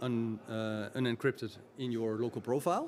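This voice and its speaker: A man with a Dutch accent and a medium-pitched voice. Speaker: IT executive and tech expert. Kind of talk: podcast interview. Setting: recorded at a community event. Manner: halting, many fillers.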